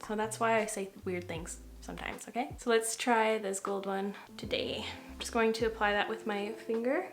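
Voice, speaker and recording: Audible room echo and noticeable background noise surround the recording. A woman speaks in a relaxed tone at a moderate pace. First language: French. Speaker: makeup artist / beauty vlogger. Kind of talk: casual get-ready-with-me tutorial. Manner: relaxed, chatty.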